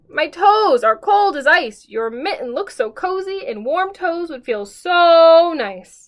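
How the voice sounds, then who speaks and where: A woman's put-on character voice, extremely high-pitched and raised to project, with very wide pitch swings, a fairly slow pace and hardly any pauses. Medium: read story.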